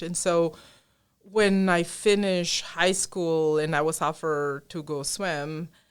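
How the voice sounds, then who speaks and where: Pitch varies in an ordinary way. Behind it lies a silent background on a very clean recording. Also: woman. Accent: Spanish. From Colombia. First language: Spanish. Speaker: engineering professor. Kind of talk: podcast interview.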